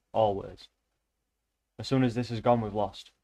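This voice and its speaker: In a British accent, a man speaks at a moderate pace and medium pitch. His intonation is monotone and flat. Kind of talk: casual political rant aside. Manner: sarcastic.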